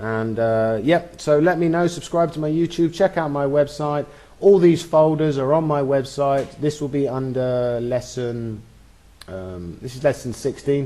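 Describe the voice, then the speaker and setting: At a fairly slow pace, a man with a fairly high pitch and a dark, mellow tone speaks with ordinary pitch variation. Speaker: software tutorial instructor. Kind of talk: tutorial. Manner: animated.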